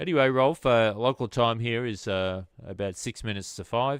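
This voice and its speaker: In an Australian accent, a man speaks at a moderate pace with ordinary pitch variation, his sound dry and close with no echo on a very clean recording with a silent background. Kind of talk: amateur radio contact. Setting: radio transmission. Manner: halting, many fillers.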